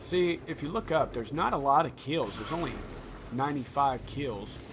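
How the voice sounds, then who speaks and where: With a rural Indiana accent, the speaker has an animated tone, ordinary pitch variation and a moderate pace over noticeable background noise. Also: man, fairly high pitch for a man. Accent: Indiana country. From Indiana, US Midwest. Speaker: gaming YouTuber. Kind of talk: gameplay tutorial commentary.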